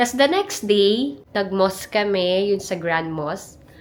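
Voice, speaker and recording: Background noise is noticeable throughout. The speech moves at a moderate pace. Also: woman. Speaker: travel vlogger. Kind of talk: casual vlog. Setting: hotel room.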